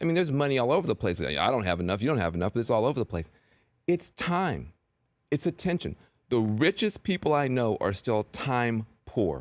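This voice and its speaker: On a very clean recording with a silent background and a dry, close sound with no echo, a man speaks at a medium pitch and a fairly quick pace, his pitch swinging very widely while his loudness stays very even and vocal fry comes through. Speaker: CNN commentator and host. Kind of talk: interview answer.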